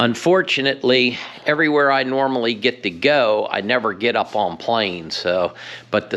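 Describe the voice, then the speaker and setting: A man talks at a moderate pace and medium pitch in an unremarkable speaking voice. His intonation is lively. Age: 60s. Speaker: fishing vlogger. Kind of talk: DIY tutorial vlog. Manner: casual, with fillers.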